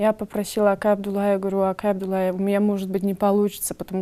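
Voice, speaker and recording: Her voice is medium-pitched, and this woman has a dark, mellow tone. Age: young. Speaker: actress. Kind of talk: interview.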